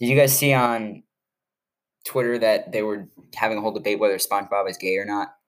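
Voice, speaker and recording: A man with a fairly low pitch talks at a very fast pace, his intonation fairly even, broken by long, frequent pauses. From Chicago. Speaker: sports podcast host. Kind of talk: casual chat.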